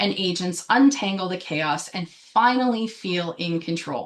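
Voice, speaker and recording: A woman speaks in an unremarkable speaking voice, pitched fairly low, with ordinary rise and fall. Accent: Canadian. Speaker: business coach for realtors. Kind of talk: live webinar presentation. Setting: Facebook live stream. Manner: filler-heavy, um and uh.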